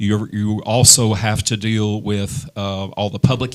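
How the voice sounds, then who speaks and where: A man talks in a Tennessee accent. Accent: Southern US (Tennessee). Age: 50s. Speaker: political candidate, former teacher. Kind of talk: candidate forum. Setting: studio with audience. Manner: hesitant, many fillers.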